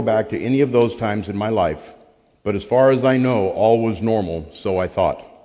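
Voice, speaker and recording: An unremarkable speaking voice with an American accent. The pace is moderate and the intonation lively. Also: man. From Arizona and St. Louis, Missouri. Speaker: recovery group member sharing testimony. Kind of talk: testimony.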